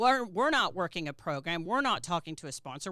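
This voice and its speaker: With a Texas accent, a woman speaks in an animated, bright, sharp tone. Her very wide pitch swings come through in a very clean recording with a silent background. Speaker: podcast host. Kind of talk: casual interview chat.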